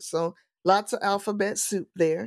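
Recorded very clean against a silent background, a woman with an American accent uses an ordinary speaking voice with ordinary pitch variation. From US Midwest, St. Louis, Missouri. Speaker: pastor. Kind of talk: casual chat.

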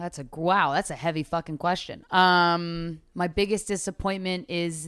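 Recorded very cleanly with a silent background, a woman with an American accent talks at a moderate pace in a fairly low pitch. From Philadelphia suburbs, Pennsylvania. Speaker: comedian and podcaster. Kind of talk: casual chat.

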